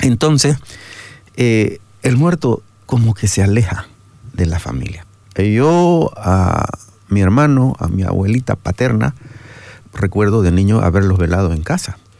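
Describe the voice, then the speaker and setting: Speaking slowly with long, frequent pauses, a man uses a fairly low pitch with very wide pitch swings. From Bolivia, Santa Cruz. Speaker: theologian. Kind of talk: radio interview. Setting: radio studio.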